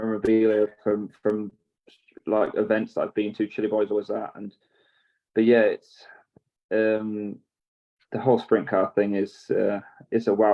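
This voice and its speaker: A man with an English accent talks fairly quickly at a medium pitch. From southern England. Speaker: racing driver. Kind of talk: casual interview chat.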